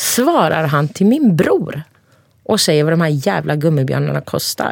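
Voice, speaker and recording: Here is an ordinary speaking voice: a woman's, fairly low in pitch, with lively intonation at a moderate pace. The sound is dry and close, with no echo. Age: 40s. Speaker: podcast guest. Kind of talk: casual chat.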